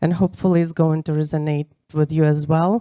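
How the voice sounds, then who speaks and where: A woman's fairly low voice with a dark, mellow tone and monotone, flat intonation, dry and close with no echo. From Ukraine, Kyiv. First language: Ukrainian or Russian. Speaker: event speaker. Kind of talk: personal testimony speech. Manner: halting, many fillers.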